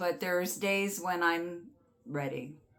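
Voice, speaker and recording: This woman's voice sits at a fairly low pitch with ordinary pitch variation. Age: 60s. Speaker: oracle card reader and channel host. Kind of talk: casual spiritual guidance talk to camera; guided breathing exercise. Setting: home studio with artwork behind her. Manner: halting, with fillers and restarts; gentle, calm.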